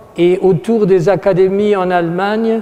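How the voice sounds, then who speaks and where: Noticeable background noise sits under a man speaking with a German accent. His pitch is high, with fairly even intonation. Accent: German accent in French, imperfect French. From Germany, Aachen. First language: German (speaking French). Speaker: art critic speaking at an exhibition opening. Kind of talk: formal speech to an audience. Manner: halting, with hesitations and self-corrections.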